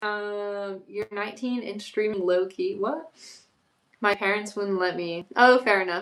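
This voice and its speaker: Keeping her intonation fairly even, a woman speaks at a fairly slow pace. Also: medium pitch for a woman. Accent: Florida. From Florida, Orlando. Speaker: YouTuber, livestreamer. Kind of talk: casual livestream chat reading comments. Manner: casual, chatty with fillers.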